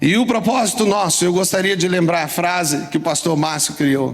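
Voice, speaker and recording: A man's high voice at a fairly slow pace, with audible room echo and music in the background. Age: 60s. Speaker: pastor. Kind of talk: sermon. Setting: church. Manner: animated.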